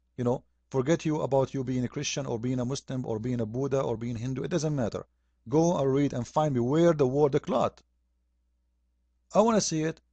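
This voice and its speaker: A dark, mellow voice with an Arabic accent, fairly quick pace, long, frequent pauses and ordinary pitch variation, in a dry, close sound with no echo against a quiet background. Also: man, medium pitch for a man. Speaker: religious critic. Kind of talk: polemic video commentary. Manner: animated.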